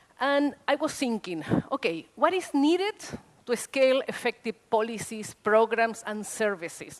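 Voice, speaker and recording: A woman with a Spanish accent talks at a fairly slow pace with lively intonation. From Chile. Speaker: social worker. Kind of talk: conference talk. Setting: stage with audience. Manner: animated.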